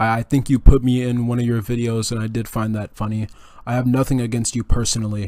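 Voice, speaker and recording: A man talks at a very fast pace with a dark, mellow tone. His pitch is medium and his intonation monotone and flat. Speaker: commentary youtuber. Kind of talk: unscripted rant. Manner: stuttering; casual.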